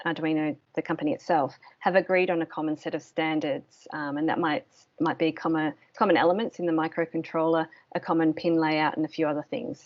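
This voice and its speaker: A woman with an Australian accent, fairly low in pitch, at a fairly quick pace. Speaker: course instructor. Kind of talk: online course presentation. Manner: hesitant, many ums.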